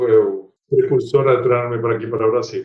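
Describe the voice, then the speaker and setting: Using ordinary pitch variation, a man with an Argentine accent talks at a fairly quick pace. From Argentina. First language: Spanish (speaking Portuguese). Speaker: supply chain executive. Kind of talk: podcast interview.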